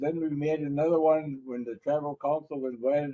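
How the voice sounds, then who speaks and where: This man's pitch is fairly high and his pace moderate. The sound is dry and close with no echo. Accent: American. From Red Cliff reservation, northern Wisconsin. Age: 70s. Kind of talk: storytelling talk. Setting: library talk with audience. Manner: casual, joking.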